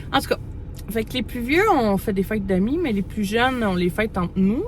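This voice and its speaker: A fairly quick-paced woman with a Quebec accent. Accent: Québécois French. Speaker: mother vlogger. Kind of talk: casual vlog talk to camera. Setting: in a parked car. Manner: fast; hesitant, many fillers.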